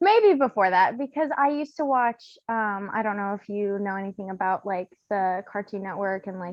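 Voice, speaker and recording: Using an ordinary speaking voice with an American accent, a woman talks at a moderate pace with hardly any pauses, medium pitch, ordinary pitch variation and big swings in loudness. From USA. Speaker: podcast guest, horror fan. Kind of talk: casual chat.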